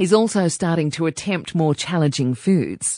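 A woman with a plain, everyday voice speaks at a moderate pace in a fairly low pitch, with a quiet background. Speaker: podcast host. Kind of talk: interview. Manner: warm.

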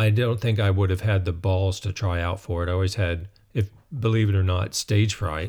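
A man with an American accent speaks at a moderate pace in a fairly low pitch, somewhat breathy and with fairly even intonation. The recording is very clean, with a silent background. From North Carolina mountains. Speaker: musician and writer. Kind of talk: casual interview.

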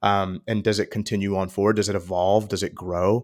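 A man speaks at a fairly quick pace and fairly low pitch in an ordinary speaking voice. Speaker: senior director at a purchasing organization. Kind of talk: casual chat.

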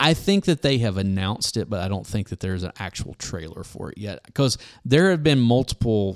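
An ordinary speaking voice, a man at fairly low pitch talks at a fairly quick pace with lively intonation and hardly any pauses, in a dry, close sound with no echo on a very clean recording with a silent background. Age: 40s. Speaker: podcast co-host. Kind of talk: casual chat.

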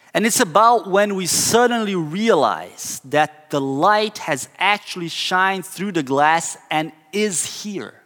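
A man with a Portuguese accent speaks in a high voice with ordinary pitch variation. His pace is very slow, with hardly any pauses. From southern Brazil. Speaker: pastor. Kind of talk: sermon.

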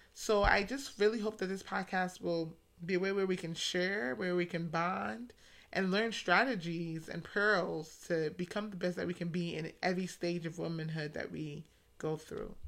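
Here a woman with an American accent has a plain, everyday voice, talking at a moderate pace with a fairly low pitch and ordinary pitch variation. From US, New York City (the Bronx). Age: young. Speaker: podcast host, emergency medicine doctor. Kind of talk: monologue introduction.

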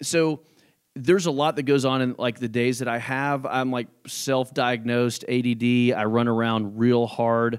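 In a very clean recording with a silent background, a man speaks in an unremarkable speaking voice at a medium pitch. His intonation is fairly even and his pace moderate. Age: 30s. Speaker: real estate brokerage owner. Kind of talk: casual interview. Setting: studio.

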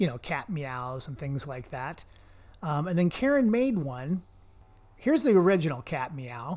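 An unremarkable speaking voice with lively intonation and a moderate pace, on a very clean recording with a silent background. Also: man, fairly high pitch for a man. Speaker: podcast host. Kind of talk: casual comedic banter podcast. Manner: joking, playful.

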